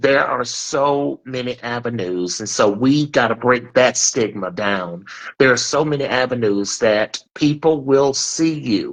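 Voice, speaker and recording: A man's medium-pitched voice at a fairly slow pace, with ordinary pitch variation and hardly any pauses. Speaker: talk show host. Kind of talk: live-streamed interview discussion. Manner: loud.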